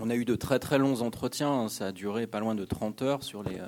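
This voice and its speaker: The pitch varies in an ordinary way while the words come at a moderate speed. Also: man. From France, Ain near Lyon. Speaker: journalist and author. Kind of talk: public radio discussion. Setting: stage with audience. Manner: halting, many hesitations.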